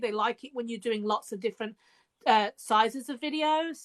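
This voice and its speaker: With an English accent, a woman speaks at a high pitch with fairly even intonation, the sound dry and close with no echo. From England, Birmingham. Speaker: author and podcast host. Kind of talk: casual chat. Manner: hesitant, many fillers.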